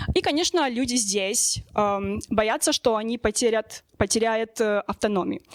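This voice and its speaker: A woman speaks at a fairly slow pace with a fairly high pitch and ordinary pitch variation. The sound is dry and close with no echo, the loudness very even, and there are hardly any pauses. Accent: non-native. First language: not Russian (speaking Russian). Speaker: sociologist. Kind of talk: panel discussion. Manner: halting, many fillers.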